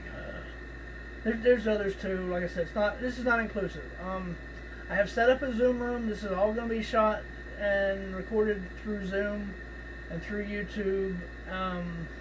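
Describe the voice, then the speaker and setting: A man with an American accent talks at a moderate pace but leaves long, frequent pauses. The room echo is audible, and there is noticeable background noise. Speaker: horror podcast host. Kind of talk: casual chat. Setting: video call. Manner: halting, many fillers; folksy.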